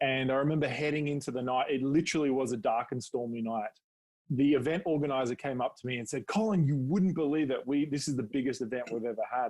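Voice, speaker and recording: This man talks at a very fast pace in an Australian accent. His pitch is medium, with ordinary variation. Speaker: public speaking coach. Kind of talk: podcast interview.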